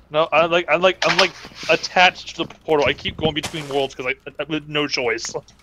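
The speech moves at a fairly quick pace with fairly even intonation amid noticeable background noise. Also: man, fairly high pitch for a man. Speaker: gamer. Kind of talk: casual chat. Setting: voice chat while gaming.

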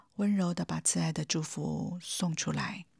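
A woman's somewhat breathy voice in a calm, gentle tone, in a very clean recording with a silent background. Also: dry, close sound with no echo. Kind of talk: guided meditation. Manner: calm, gentle, warm, addressing the listener directly as 你.

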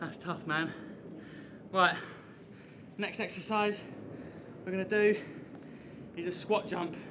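A man speaks at a fairly slow pace in a high voice, his intonation fairly even. Noticeable background noise sits behind him. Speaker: fitness instructor. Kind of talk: workout instruction. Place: garden. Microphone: camera far.

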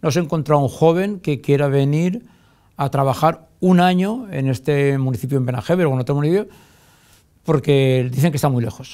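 Against a quiet background, a man speaks with a dark, mellow tone. His voice sits fairly high, with ordinary pitch variation. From Valencia region, Spain. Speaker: mayor. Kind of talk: TV interview; interview answer. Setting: TV studio. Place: studio.

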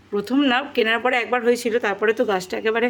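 Fairly even intonation in a woman's fairly high-pitched voice. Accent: West Bengal. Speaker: vlogger. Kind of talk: cooking vlog voiceover. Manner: casual chatty.

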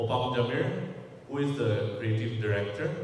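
Strong room echo and light background noise surround a man who speaks with ordinary pitch variation. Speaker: fashion brand head. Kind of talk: press conference. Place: hall.

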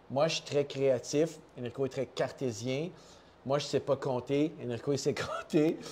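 Someone with a Quebec accent speaks at a fairly slow pace over light background noise. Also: man, fairly high pitch for a man. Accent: Québécois French. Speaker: coffee company co-founder. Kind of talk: casual chat. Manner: animated. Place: office.

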